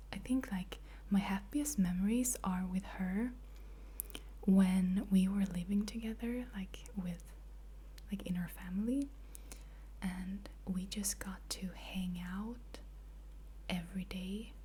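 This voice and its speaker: A soft-spoken woman talks at a very slow pace with long, frequent pauses. Noticeable background noise runs underneath. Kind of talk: ASMR soft-spoken question answering.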